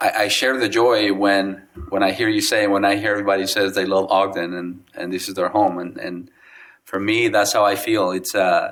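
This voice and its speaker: Intonation stays monotone and flat. Delivery comes at a moderate pace. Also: man, fairly low pitch for a man. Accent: Spanish. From Mexico (Guadalajara). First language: Spanish. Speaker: city council member. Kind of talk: ceremonial remarks. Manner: unscripted, halting with fillers.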